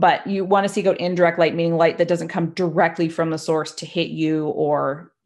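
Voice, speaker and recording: Speaking at a fairly quick pace, a woman has a Maritime Canadian accent. Her pitch is fairly low. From Nova Scotia, Canada. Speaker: photographer and educator. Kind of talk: interview conversation. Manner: casual with frequent fillers.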